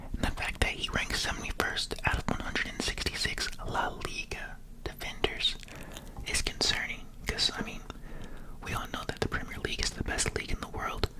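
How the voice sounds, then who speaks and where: Someone whispers at a fairly quick pace. Background noise is noticeable. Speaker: ASMR creator. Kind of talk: ASMR sports commentary. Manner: whispered.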